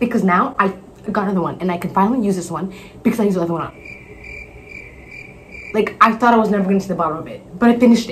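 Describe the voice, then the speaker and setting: Over light background noise, a woman talks at a very fast pace with lively intonation. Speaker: vlogger. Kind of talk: casual vlog chat. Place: bathroom. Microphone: earbuds.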